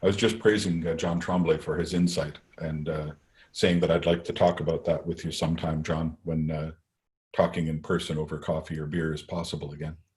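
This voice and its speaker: A man's very deep, low voice, somewhat breathy, with monotone, flat intonation. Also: fairly quick pace. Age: old. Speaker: lecturer, scientist. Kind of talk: Q&A after a lecture.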